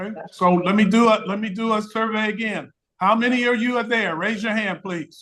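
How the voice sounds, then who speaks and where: Bright and sharp in tone, a man speaks with a high pitch. His intonation is fairly even. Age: 60s. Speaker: retired business professor giving a talk. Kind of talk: interactive lecture.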